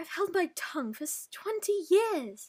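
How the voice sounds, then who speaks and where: Putting on a squeaky character voice, a woman talks at an extremely high pitch. She keeps a moderate pace while her pitch swings very widely. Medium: read story.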